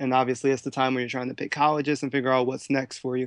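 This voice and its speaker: A man talks at medium pitch with a Philadelphia accent. The background is quiet. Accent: Philadelphia American. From Philadelphia, US. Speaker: professional dancer and choreographer. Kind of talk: interview. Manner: energetic.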